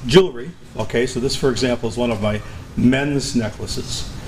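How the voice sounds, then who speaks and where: Noticeable background noise and audible room echo behind a man talking at a fairly quick pace. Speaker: musician and videographer. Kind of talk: talk to a live audience. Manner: holds back volume, cannot yell.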